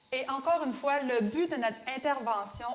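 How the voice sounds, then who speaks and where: The speaker has a Beauce Quebec accent and a fairly slow pace. The intonation stays fairly even. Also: woman. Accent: Beauce Québécois French. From Quebec, Beauce. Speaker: show co-host. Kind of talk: religious Q&A show.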